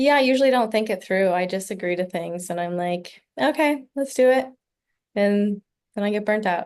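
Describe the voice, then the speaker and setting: This is an unremarkable speaking voice with lively intonation. It moves along at a moderate pace. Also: woman, medium pitch for a woman. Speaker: client in a role-play. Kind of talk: mock therapy interview answers.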